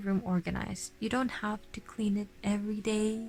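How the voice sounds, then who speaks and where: Music plays behind a woman speaking at a moderate pace. Her pitch is fairly high. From Philippines. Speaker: vlogger. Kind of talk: casual chat. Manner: halting.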